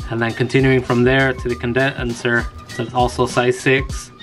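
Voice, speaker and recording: A man speaks at a moderate pace with fairly even intonation, clear music playing in the background. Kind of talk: tutorial. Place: garage.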